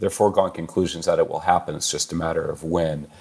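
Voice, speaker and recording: With a Californian accent, the voice comes through on a very clean recording against a silent background. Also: man. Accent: American (Californian). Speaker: chief information security officer. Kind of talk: interview. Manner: hesitant, many fillers.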